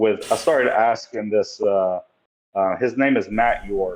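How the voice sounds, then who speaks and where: A man's fairly low-pitched voice with an East Tennessee accent. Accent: Southern US (East Tennessee). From US South, Tennessee (Sevierville). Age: 30s. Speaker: bodybuilder. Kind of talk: podcast interview. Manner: hesitant, many fillers.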